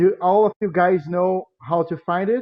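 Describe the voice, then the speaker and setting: A man speaks very slowly in a Brazilian accent. His pitch varies in an ordinary way. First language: Portuguese. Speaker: music education lecturer. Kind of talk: lecture. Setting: video call. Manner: halting.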